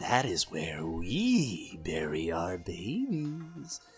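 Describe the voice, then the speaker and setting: A put-on character voice at a low pitch and very slow pace, with clear music in the background. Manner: creepy.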